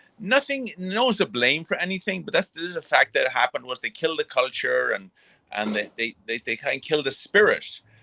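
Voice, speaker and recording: Recorded dry and close with no echo, a man with an Irish accent speaks at a fairly quick pace. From England (Birmingham), then Ireland from age ten. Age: 40s. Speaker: former boxer and actor. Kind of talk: interview.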